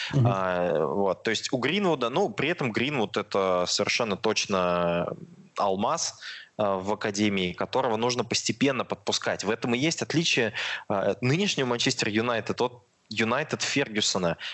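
Heard in an unremarkable speaking voice, the delivery has lively intonation, a moderate pace and very even loudness. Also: man, medium pitch for a man. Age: 20s. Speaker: football fan YouTube blogger. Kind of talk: casual chat.

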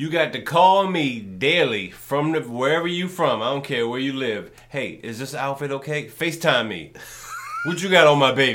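Against noticeable background noise, a man speaks in an animated tone at a moderate pace, with ordinary pitch variation. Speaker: podcast host and comedian. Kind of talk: casual comedic chat.

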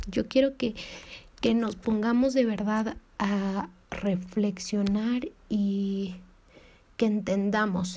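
Speaking at a very slow pace, a woman leaves long, frequent pauses. Her medium-pitched voice is somewhat breathy, with fairly even intonation. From Mexico. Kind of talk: devotional talk.

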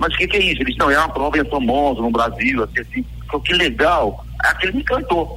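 Talking at a very fast pace with hardly any pauses, a man keeps his loudness very even over noticeable background noise. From Pernambuco, Brazil (Bezerros). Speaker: retired Olympic runner and race organizer. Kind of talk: live radio interview. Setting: live radio broadcast.

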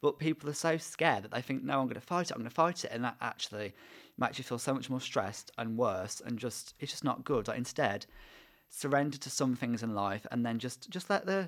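A man with an English accent talks at a fairly quick pace, his intonation lively. The recording is very clean, with a silent background. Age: 20s. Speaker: podcast host and university student. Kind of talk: casual chat.

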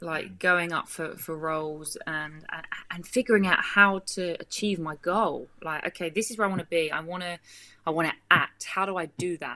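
With a British accent, a woman talks at a moderate pace and a fairly low pitch, her intonation fairly even. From Britain. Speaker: actress and film producer. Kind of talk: casual interview.

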